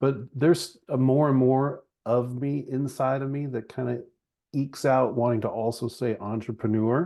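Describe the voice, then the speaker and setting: A man speaks at a moderate pace in an ordinary speaking voice, with medium pitch and fairly even intonation. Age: 40s. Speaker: chiropractor and business founder. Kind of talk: podcast interview conversation. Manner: casual, conversational with fillers.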